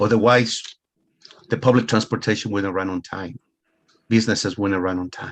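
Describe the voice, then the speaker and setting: A speaker with a Spanish accent talks at a moderate pace with fairly even intonation and long, frequent pauses. The loudness shows big swings. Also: man, fairly low pitch for a man. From Ecuador. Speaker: money coach. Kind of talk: motivational talk.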